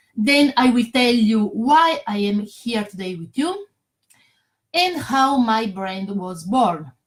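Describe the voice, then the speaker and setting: The voice is somewhat breathy, with very wide pitch swings. The pace is very slow. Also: woman, fairly high pitch for a woman. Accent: non-native. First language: not English. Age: 40s. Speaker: network marketer. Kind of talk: sales pitch. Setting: Facebook live stream. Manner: halting.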